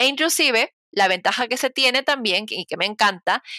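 A woman speaks at a moderate pace in a bright, sharp tone with ordinary pitch variation. The sound is dry and close with no echo, in a very clean recording with a silent background. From Peru (provinces). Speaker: cloud engineer. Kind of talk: interview conversation.

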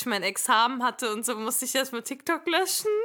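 This woman has a bright, sharp tone with ordinary pitch variation. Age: 20s. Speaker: podcaster and speech therapist. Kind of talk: casual chat.

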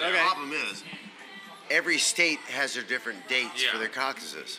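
A man's fairly high, lively voice at a fairly quick pace, with noticeable background noise. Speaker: podcast panelist. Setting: live podcast recorded in a bar.

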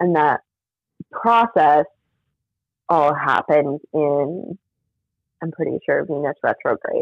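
A woman with a very deep, low pitch talks at a very slow pace. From New Mexico. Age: 30s. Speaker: mental health counselor and poet. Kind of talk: casual chat.

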